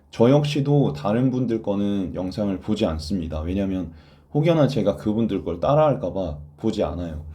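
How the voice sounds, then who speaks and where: Audible room echo surrounds a man's dark, mellow voice. He speaks at a moderate pace with very wide pitch swings. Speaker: Korean language exam tutor. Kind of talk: online lecture. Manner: stammering.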